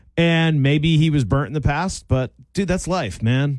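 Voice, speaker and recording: Here a man talks at a fairly slow pace with a fairly high pitch. His pitch varies in an ordinary way, and his loudness stays very even. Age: 40s. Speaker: radio host at classic rock station. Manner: casual, conversational.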